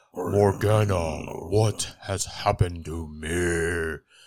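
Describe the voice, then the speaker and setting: Booming in a put-on character voice, a man talks at a very slow pace with a very deep, low pitch. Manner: dark, ominous.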